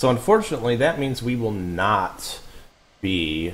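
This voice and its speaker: Noticeable background noise behind a man speaking at a moderate pace. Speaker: flight sim streamer. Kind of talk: live stream gameplay commentary. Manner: soft-spoken at times; casual, filler-heavy.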